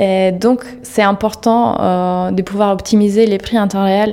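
With fairly even intonation, a woman speaks at medium pitch. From Italy. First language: Italian (speaking French). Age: 30s. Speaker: digital advertising manager. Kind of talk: interview. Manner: halting, frequent hesitations.

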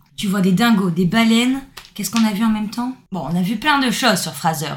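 With lively intonation and a moderate pace, a woman speaks in a plain, everyday voice. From southern France. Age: 20s. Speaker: backpacker. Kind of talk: casual chat.

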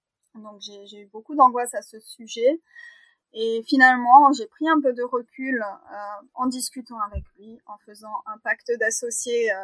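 At a fairly slow pace, the woman speaks with a high pitch and fairly even intonation. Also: dry, close sound with no echo. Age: 30s. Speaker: veterinarian. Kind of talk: interview.

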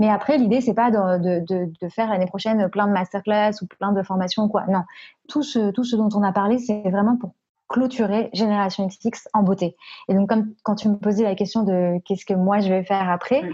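A woman speaks in a dark, mellow tone that is somewhat breathy. Her intonation is fairly even and her loudness very even. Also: medium pitch for a woman, moderate pace. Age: 20s. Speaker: podcast creator. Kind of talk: interview. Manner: hesitant, many fillers.

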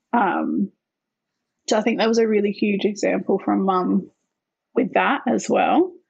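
A woman with an Australian accent talks at a fairly slow pace with long, frequent pauses and very even loudness. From Australia, Northern Territory. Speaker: founder of a women's organisation, former dancer. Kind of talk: interview.

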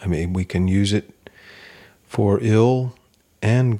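A man's fairly low, dark, mellow voice in a Kentucky accent, at a very slow pace. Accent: US Southern (Kentucky). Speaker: poet. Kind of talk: interview. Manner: halting.

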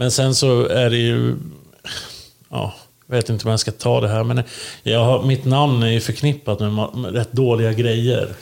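A man with a medium pitch speaks at a moderate pace, his intonation monotone and flat. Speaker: podcast co-host. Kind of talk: casual chat. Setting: recording in Linköping.

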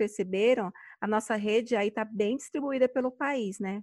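In a normal speaking voice, a woman talks at a moderate pace with a fairly high pitch and fairly even intonation. The sound is dry and close with no echo, over a quiet background. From Brazil, São Paulo. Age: 40s. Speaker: podcast host, virtual assistant. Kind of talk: casual chat.

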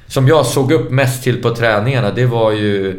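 Audible room echo surrounds a man speaking at a moderate pace. His medium-pitched voice keeps fairly even intonation. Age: 40s. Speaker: former professional footballer. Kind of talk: casual interview.

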